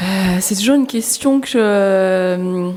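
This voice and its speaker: Noticeable background noise runs under the recording. A woman speaks at a medium pitch. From Paris region, France (Essonne, 91), born in Laos. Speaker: filmmaker and author. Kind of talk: panel discussion.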